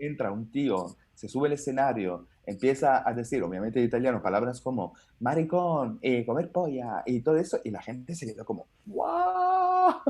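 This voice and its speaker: A man uses a normal speaking voice at medium pitch and a moderate pace. His intonation is lively, and there are hardly any pauses. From Italy. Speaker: stand-up comedian. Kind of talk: interview answer.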